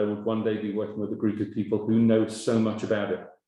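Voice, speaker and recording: A man's dark, mellow tone with an English accent. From England. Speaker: webinar moderator. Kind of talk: webinar introduction. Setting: online webinar.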